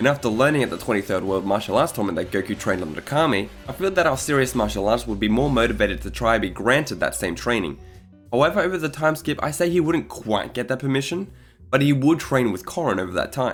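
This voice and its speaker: Over background music, a man talks at a very fast pace. His medium-pitched voice swings very widely in pitch. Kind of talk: casual fan-theory commentary narration.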